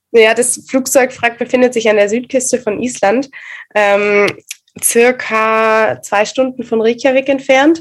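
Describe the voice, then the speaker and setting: A woman's high pitch at a very slow pace, with fairly even intonation. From Swabia, southern Germany (Reutlingen). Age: 20s. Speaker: photographer and pole dancer. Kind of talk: casual interview.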